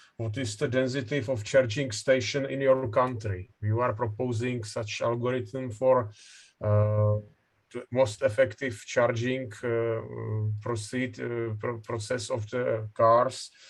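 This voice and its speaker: A man speaks at a medium pitch in a monotone, flat intonation. His pace is fairly slow and his voice somewhat breathy. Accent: Czech. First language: Czech. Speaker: session chair, professor. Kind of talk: conference moderation. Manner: halting.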